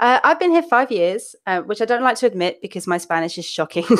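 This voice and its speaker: A woman's fairly high voice with very wide pitch swings at a fairly quick pace, on a very clean recording with a silent background. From southern England, London area. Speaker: developer advocate. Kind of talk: casual chat.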